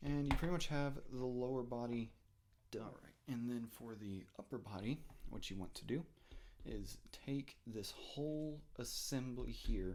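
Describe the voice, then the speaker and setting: Soft-spoken, a man talks at a fairly slow pace with a medium pitch and ordinary pitch variation. His loudness swings widely. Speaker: toy reviewer. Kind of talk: product review and transformation tutorial. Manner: hesitant, many fillers.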